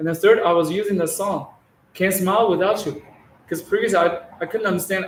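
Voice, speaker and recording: A man with a Chinese accent speaks at a high pitch. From China. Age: 40s. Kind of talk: testimony. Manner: halting, many repetitions.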